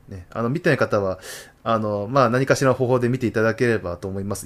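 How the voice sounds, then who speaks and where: In a very clean recording with a silent background, a man with a medium pitch talks at a very fast pace. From Tohoku, Japan. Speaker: podcast host. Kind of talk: solo talk show. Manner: frequent fillers.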